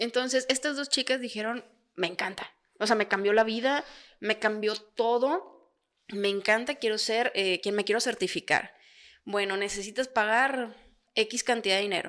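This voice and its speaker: A woman in an ordinary speaking voice, fairly high in pitch with ordinary pitch variation, at a moderate pace, in a very clean recording with a silent background. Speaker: podcast co-host. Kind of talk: casual chat.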